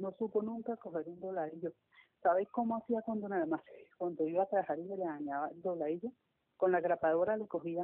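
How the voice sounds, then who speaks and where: A woman with a plain, everyday voice speaks fairly quickly at a fairly low pitch with ordinary pitch variation. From Colombia, Cali. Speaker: seamstress, member of a sewing circle. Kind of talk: interview. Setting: phone call.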